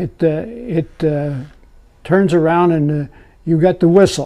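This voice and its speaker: Speaking in an American accent, a man with a high pitch keeps his intonation fairly even. His pace is very slow against a quiet background. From US Mid-Atlantic (Pennsylvania). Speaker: former navy machinist's mate, oral history interviewee. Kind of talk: oral history interview recollection. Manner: halting, repeats words. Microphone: lapel.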